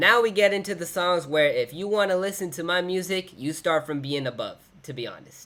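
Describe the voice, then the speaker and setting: A man speaks at a moderate pace in a voice pitched high for a man. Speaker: rapper and musician. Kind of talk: casual video commentary reviewing own music. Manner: casual, filler-heavy.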